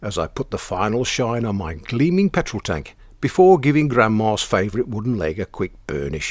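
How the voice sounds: The recording features a natural reading voice.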